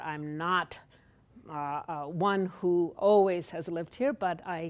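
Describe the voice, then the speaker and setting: Someone with a Polish accent speaks with ordinary pitch variation on a very clean recording with a silent background. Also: woman. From Poland. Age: 60s. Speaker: author. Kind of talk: author talk. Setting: library event with live audience.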